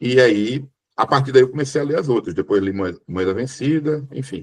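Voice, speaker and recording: A man speaks with a northeastern Brazilian accent at a fairly slow pace. His voice is somewhat breathy. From Brazil, Sergipe (Northeast). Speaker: book club member, moderator. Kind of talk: book club discussion.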